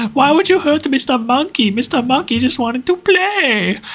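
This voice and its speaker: A put-on character voice, pitched high and delivered at a moderate pace. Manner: scary, menacing.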